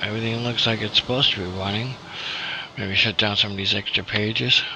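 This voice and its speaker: Amid noticeable background noise, a man speaks quietly at a very fast pace. His intonation is fairly even. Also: fairly low pitch for a man. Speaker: gaming streamer. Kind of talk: casual live stream chat. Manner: quiet, keeping voice down. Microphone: hard to hear, too quiet.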